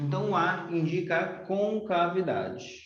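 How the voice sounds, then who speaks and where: A man talks with fairly even intonation. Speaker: math teacher. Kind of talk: lecture.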